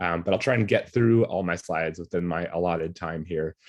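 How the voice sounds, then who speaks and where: A man talking at a fairly quick pace with fairly even intonation, against a quiet background. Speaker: music psychology researcher. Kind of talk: online talk. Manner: fast; hesitant, many fillers.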